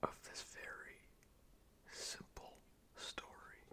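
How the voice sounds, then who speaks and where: A whisper at a very slow pace. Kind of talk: ASMR whispered poetry reading and commentary. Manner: whispered, soft, slow; tongue-in-cheek, sarcastic.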